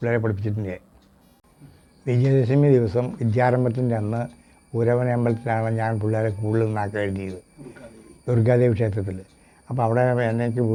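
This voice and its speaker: This man's voice sits at a medium pitch, with a dark, mellow tone and flat, monotone intonation. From Kerala, Ernakulam district (Koothattukulam). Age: 70s. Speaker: retired traditional village teacher. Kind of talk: interview testimony. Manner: halting, with memory lapses.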